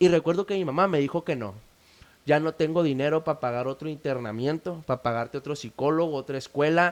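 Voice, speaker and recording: Speaking fairly quickly, a man uses an ordinary speaking voice with a fairly high pitch and ordinary pitch variation. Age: 20s. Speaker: founder of addiction recovery initiative. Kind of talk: testimony.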